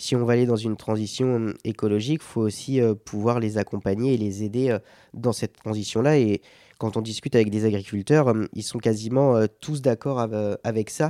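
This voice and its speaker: A man speaks at a moderate pace and medium pitch with a dark, mellow tone and fairly even intonation, recorded very cleanly against a silent background with a dry, close sound and no echo. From Sarthe, western France. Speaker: adventurer and endurance athlete. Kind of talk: interview conversation. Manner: hesitant, many fillers.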